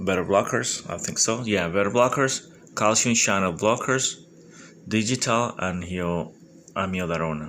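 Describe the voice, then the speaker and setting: Speaking at a fairly slow pace with a non-native accent, a man has a fairly low pitch, a bright, sharp tone and ordinary pitch variation. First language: Spanish. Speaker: medical exam candidate. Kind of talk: study review monologue. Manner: halting; informal.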